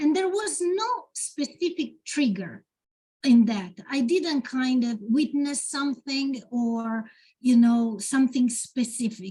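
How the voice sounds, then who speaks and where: A woman with an Italian accent speaks at a high pitch with lively intonation. Her tone is dark and mellow, and her pace is very slow. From Italy. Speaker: poet. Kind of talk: Q&A at a literary event. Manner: halting, with many fillers.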